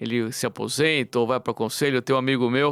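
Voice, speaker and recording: A man with an unremarkable speaking voice talks at a fairly quick pace on a very clean recording with a silent background and a dry, close sound with no echo. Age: 60s. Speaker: business consultant and board member. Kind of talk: podcast conversation.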